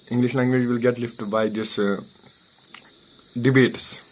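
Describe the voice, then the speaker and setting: A man with a Kashmiri accent speaks in a flat monotone over noticeable background noise. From Kashmir, India. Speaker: maths tutor and coaching centre administrator. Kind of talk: motivational talk to camera. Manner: halting.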